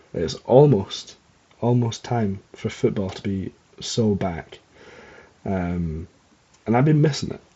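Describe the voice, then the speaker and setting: With a Scottish accent, a man speaks at a very slow pace and a fairly low pitch, leaving long, frequent pauses. His intonation is lively. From Scotland. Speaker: podcast host. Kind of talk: casual chat. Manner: rambling with many fillers and hesitations. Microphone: not using usual mic, old one broken.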